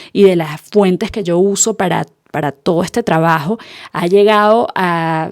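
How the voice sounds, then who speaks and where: A woman speaks with a Venezuelan accent and a dark, mellow tone. The sound is dry and close, with no echo. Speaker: podcast host. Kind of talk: podcast monologue.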